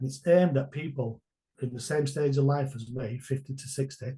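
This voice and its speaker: At a moderate pace, a man speaks in a fairly high pitch with a dark, mellow tone and a somewhat breathy quality. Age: 60s. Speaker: online business mentor. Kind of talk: interview answer.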